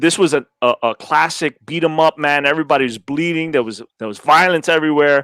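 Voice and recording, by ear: A man speaks at a fairly quick pace and a fairly high pitch, his clear, smooth, fairly bright tone captured in a dry, close sound with no echo. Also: ordinary pitch variation.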